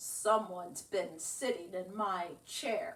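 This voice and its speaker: In a put-on character voice, a woman growls at a very slow pace and a medium pitch. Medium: read story.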